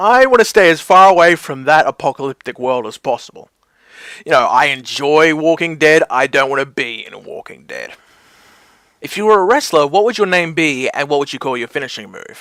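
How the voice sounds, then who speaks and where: Fairly quick and fairly high-pitched, a man's bright, sharp voice shows lively intonation and big swings in loudness, recorded dry and close with no echo. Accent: Australian. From Australia. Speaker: wrestling mashup creator. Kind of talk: casual Q&A talk to camera.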